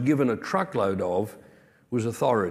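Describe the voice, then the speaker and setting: Lively intonation runs through a man's speech in an Australian accent. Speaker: pastor. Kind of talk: sermon.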